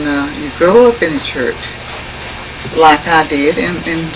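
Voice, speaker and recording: Speech comes at a fairly slow pace. Noticeable background noise sits behind it. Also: woman. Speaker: interviewee. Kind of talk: interview answer. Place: home room. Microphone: old recording.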